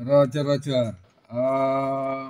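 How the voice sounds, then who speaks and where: A man with an Indonesian accent. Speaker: amateur radio operator. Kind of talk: radio contact exchange. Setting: ham radio transmission. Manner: halting, many fillers.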